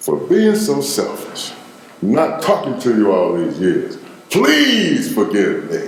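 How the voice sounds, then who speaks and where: A man speaks at a very slow pace in a Memphis accent. Audible room echo and noticeable background noise surround him. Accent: Southern US (Memphis). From US South. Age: 60s. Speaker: interviewee. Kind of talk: casual chat. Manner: animated.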